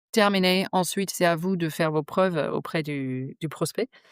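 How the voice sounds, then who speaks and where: A woman with a New Zealand accent and ordinary pitch variation, in a dry, close sound with no echo on a very clean recording with a silent background. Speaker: digital strategy consultant. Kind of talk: podcast interview answer. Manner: frank, outspoken.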